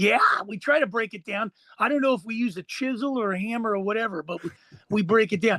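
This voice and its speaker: A man's high, bright, sharp voice, raised and projected, very fast, with ordinary pitch variation. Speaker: podcast host. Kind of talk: podcast interview host.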